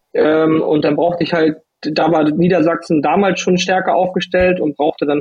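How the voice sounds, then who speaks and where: In a normal speaking voice, a man talks at a fairly high pitch and a moderate pace. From northern Germany, Lübeck. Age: 30s. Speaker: judo athlete. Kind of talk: interview.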